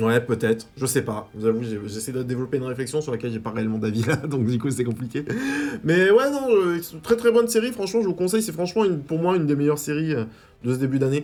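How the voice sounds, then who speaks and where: A man's fairly high pitch with very wide swings, at a very fast pace over noticeable background noise. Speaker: YouTube film and TV reviewer. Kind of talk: casual video review. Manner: hesitant, many fillers and repetitions.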